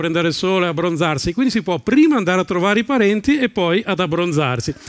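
Against a quiet background, a man with a high pitch talks at a very fast pace with lively intonation. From northern Italy, Salò on Lake Garda (Lombardy); Lombardy, Italy. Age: 50s. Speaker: stand-up comedian. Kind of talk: stand-up. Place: stage. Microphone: headset.

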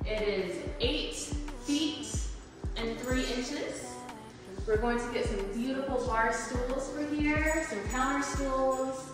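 Amid strong room echo and clear background music, a woman speaks at a very slow pace in a high pitch, leaving long, frequent pauses. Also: ordinary pitch variation. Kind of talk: casual vlog chat. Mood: happy, proud. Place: empty room. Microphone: camera far.

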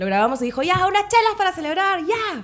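A woman speaks over light background noise. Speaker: podcast guest. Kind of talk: interview answer. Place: studio. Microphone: studio mic.

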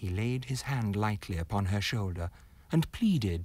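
The intonation here is lively. It comes in an unforced reading voice.

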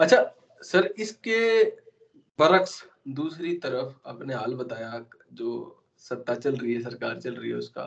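With long, frequent pauses, the man talks at a very slow pace. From Haryana. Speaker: podcast host. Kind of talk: interview. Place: home room. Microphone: video call.

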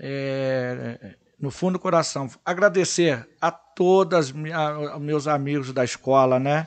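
A man at a very slow pace with hardly any pauses, fairly high in pitch, with ordinary pitch variation. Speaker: futsal coach and public servant. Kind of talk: casual chat.

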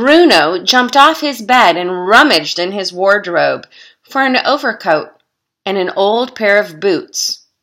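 This is an unforced reading voice with lively intonation. The background is quiet.

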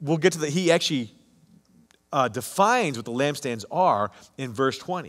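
A man speaks at a moderate pace in a fairly high pitch. Long, frequent pauses break up his speech against a quiet background. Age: 50s. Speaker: pastor. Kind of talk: sermon. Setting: online church service recording. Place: church.

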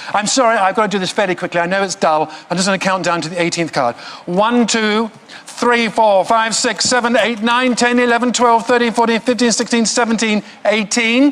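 A man with a British accent speaks in a high pitch at a fairly slow pace, with ordinary pitch variation, very even loudness and hardly any pauses. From England. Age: 60s. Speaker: mentalist. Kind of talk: stage performance. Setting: stage with audience. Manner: comic, self-deprecating. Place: studio. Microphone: lapel.

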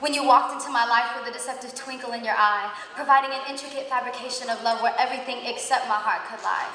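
A woman's high-pitched voice at a very fast pace with hardly any pauses, audible room echo and light background noise. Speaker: spoken word performer at a worship event. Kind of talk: spoken word poetry, religious, live performance. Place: church. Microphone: handheld.

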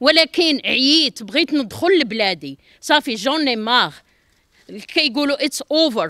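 Speaking at a fairly slow pace, a woman projects a raised, high-pitched voice with a bright, sharp tone and lively intonation, recorded very cleanly, dry and close with no echo against a silent background. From Morocco. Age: 50s. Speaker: apartment buyer. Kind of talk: street interview. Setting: outdoors at construction site. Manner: emotional pleading.

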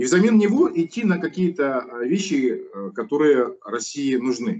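Very wide pitch swings from a male speaker, in a quiet background. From Kazakhstan. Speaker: opposition politician and activist; opposition politician. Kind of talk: interview. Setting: studio. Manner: long-winded, with many filler sounds. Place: home room. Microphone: video call.

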